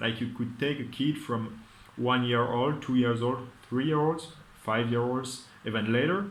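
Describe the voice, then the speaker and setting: There is audible room echo around this man's voice. He speaks at a medium pitch with fairly even intonation. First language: not English. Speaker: vlogger. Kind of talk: casual monologue. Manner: halting.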